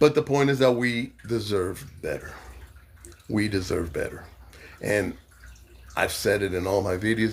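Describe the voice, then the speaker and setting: The voice carries an American accent and sounds somewhat breathy. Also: man. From Miami, Florida. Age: 60s. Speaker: vlogger and self-declared presidential candidate. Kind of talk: political monologue vlog. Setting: home studio with paintings behind. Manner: halting, repeats words.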